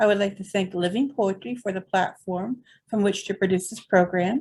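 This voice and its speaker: Her voice is dark and mellow, somewhat breathy, and sits at a medium pitch for a woman. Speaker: poetry event host. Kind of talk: event hosting, welcome address.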